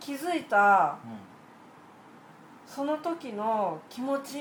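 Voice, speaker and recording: A woman's voice swings very widely in pitch, with audible room echo around it. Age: 30s. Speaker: podcast guest, aquarium hobbyist. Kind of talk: casual chat.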